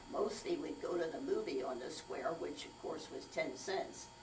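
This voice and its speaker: Music plays in the background and the room echo is audible as a woman with an American accent talks at a fairly slow pace. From Palmyra, Pennsylvania, US. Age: 80s+. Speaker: elderly local resident. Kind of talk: oral history interview.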